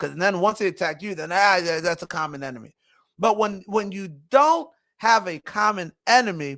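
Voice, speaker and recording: A raised, projected voice with a bright, sharp tone, lively intonation, big swings in loudness and a moderate pace, on a very clean recording with a silent background. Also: man, high pitch for a man. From immigrant, grew up in Philadelphia. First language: not English (English was third language). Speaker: show host and marketing firm owner. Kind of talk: casual commentary monologue.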